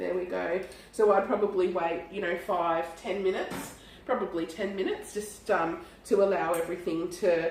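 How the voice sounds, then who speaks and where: Her medium-pitched voice moves at a moderate pace, and the woman's intonation stays monotone and flat. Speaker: cafe owner and cooking host. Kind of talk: casual talk to camera.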